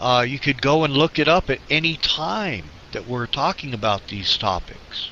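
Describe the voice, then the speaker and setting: Lively intonation marks this man's fairly high voice. He speaks at a moderate pace over noticeable background noise. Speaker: radio show co-host. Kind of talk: casual chat. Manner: halting.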